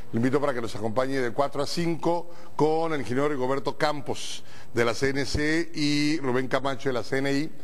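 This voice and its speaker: The voice is a man's. He talks at a fairly slow pace, his pitch shifting in an ordinary way. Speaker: TV program host. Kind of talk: talk show opening commentary. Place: studio.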